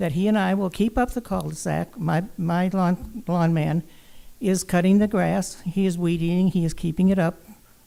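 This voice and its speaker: Her voice is fairly low in pitch, with a dark, mellow tone. The woman keeps a moderate pace, fairly even intonation and very even loudness. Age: 80s+. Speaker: resident speaking at public comment. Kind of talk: public comment at council meeting. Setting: city council chamber.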